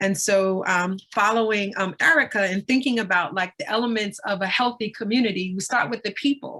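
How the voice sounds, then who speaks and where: A woman with an American accent and a plain, everyday voice, medium in pitch, fairly quick, with ordinary pitch variation. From Brooklyn, New York (Brownsville). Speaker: community organization co-founder. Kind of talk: panel discussion.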